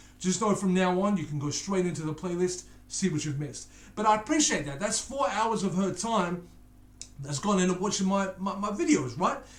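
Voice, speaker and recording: A high-pitched man speaks at a fairly quick pace with ordinary pitch variation, amid audible room echo and noticeable background noise. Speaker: YouTube reaction channel host. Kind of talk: casual reaction commentary. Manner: slurring words.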